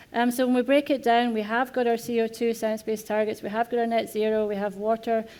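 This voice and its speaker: A woman with a Scottish accent talks at a very fast pace with hardly any pauses. Her dark, mellow tone sits fairly high in pitch, with monotone, flat intonation on a very clean recording with a silent background. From Scotland. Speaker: corporate sustainability head. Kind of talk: panel discussion. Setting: conference stage with audience.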